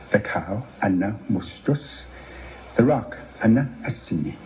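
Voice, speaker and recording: Noticeable background noise behind a voice with a Canadian accent. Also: man. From Manitoba, Canada. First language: Cree. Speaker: playwright and author. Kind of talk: lecture.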